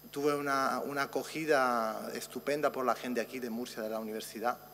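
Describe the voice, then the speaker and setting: A man talks with an Italian accent at a fairly quick pace. His pitch is medium. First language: Italian (speaking Spanish). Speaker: physician researcher. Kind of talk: conference talk.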